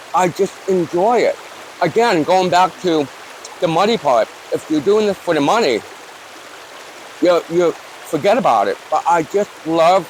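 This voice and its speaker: A high-pitched man with an American accent, very even loudness, a fairly slow pace and long, frequent pauses, over noticeable background noise. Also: ordinary pitch variation. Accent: northern US accent, noticeable to locals. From Newport, Rhode Island. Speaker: YouTuber. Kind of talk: interview. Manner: casual, conversational.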